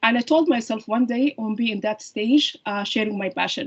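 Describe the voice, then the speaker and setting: This woman speaks at a high pitch with a non-native accent. Her pitch varies in an ordinary way. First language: not English. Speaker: surgeon-scientist and women's heart health advocate. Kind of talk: podcast interview. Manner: halting, many fillers and restarts.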